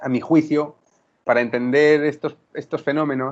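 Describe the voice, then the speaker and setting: A fairly high-pitched man at a fairly slow pace. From Spain, Murcia. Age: 30s. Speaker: writer and journalist. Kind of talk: interview. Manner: halting, many repetitions and fillers.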